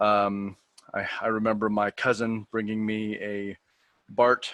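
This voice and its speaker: Fairly low-pitched male voice with a West Coast accent and monotone, flat intonation, in a very clean recording with a silent background and a dry, close sound with no echo. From US Pacific Northwest, Portland, Oregon. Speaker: person who stutters, coaching program graduate. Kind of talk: podcast interview, personal story.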